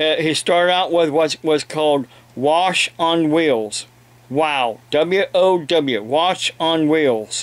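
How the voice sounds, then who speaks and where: Speaking at a very slow pace with an American accent, the voice shows ordinary pitch variation. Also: man, fairly high pitch for a man. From Ohio, US. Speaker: evangelist preacher and video blogger. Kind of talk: angry rant, indignant and scolding, aimed at online trolls who harass his family. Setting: home, talking to camera with a kitten and police scanner nearby. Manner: halting, filler-filled, self-interrupting; indignant, raised and confrontational during the rant. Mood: aggrieved in parts. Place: home room. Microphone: webcam.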